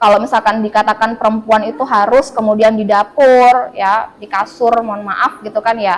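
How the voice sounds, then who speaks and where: Speaking at a moderate pace with hardly any pauses, a woman uses a fairly high pitch and fairly even intonation, while her loudness swings widely. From Madura, Pamekasan. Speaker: university lecturer. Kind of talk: interview. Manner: conversational.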